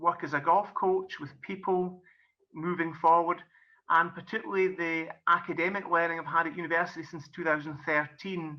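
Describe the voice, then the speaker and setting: Here a man with a Scottish accent speaks at a moderate pace. His pitch is high and his intonation fairly even. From Scotland. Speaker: golf coach and business coach. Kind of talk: presentation.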